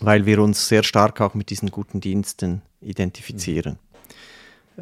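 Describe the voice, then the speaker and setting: In a dry, close recording with no echo, a man talks in a fairly low voice with monotone, flat intonation. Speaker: historian and politician. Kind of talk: interview. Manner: hesitant, many fillers.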